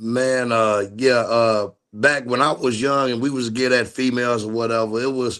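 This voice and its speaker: At a moderate pace and with hardly any pauses, a man speaks in a medium pitch with monotone, flat intonation. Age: 40s. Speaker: streamer interviewer. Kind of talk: casual chat.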